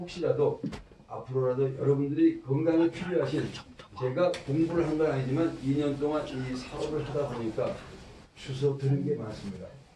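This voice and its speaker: A man with a fairly high voice talks at a moderate pace with fairly even intonation, amid audible room echo and noticeable background noise. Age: 60s. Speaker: network marketing presenter, former pro billiards player. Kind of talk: business presentation.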